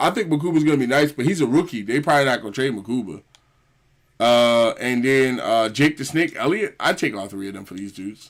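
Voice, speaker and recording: A man with an American accent and a medium-pitched voice talks at a very fast pace with lively intonation and big swings in loudness, on a very clean recording with a silent background. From Philadelphia, US. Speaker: gaming streamer. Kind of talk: casual live stream commentary. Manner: casual, halting with fillers.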